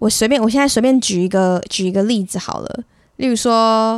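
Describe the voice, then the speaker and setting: In a very clean recording with a silent background, a woman with a Taiwanese accent speaks with ordinary pitch variation, the sound dry and close with no echo. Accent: Taiwanese Mandarin. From Taiwan, Sanxia (New Taipei). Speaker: podcast host. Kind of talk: casual solo monologue. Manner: chatty, code-switches into English.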